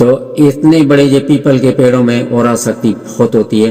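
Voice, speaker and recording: Noticeable background noise is present. A man's intonation stays fairly even. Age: 70s. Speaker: wellness teacher. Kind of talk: tutorial.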